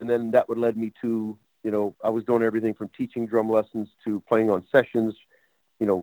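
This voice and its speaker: A man talks at a fairly quick pace in a monotone with flat intonation. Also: dry, close sound with no echo. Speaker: drummer. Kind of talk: casual interview.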